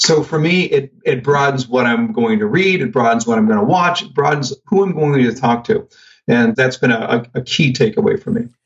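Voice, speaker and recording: A somewhat breathy voice that swings very widely in pitch. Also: man, fairly high pitch for a man, moderate pace. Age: 50s. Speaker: sales trainer. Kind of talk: casual chat.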